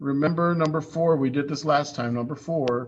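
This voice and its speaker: Audible room echo surrounds a man whose intonation stays flat and monotone. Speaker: high school math teacher. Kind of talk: online class lecture.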